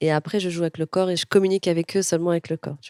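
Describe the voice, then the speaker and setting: A woman with a fairly low voice and fairly even intonation is heard in a dry, close sound with no echo. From Morocco, Casablanca. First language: Moroccan Arabic (speaking French). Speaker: comedian. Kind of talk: casual interview.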